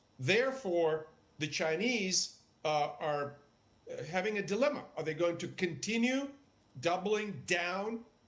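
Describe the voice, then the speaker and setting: A man with a Russian accent speaks at a fairly slow pace. His pitch is high and his intonation lively. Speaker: political analyst. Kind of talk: TV news interview.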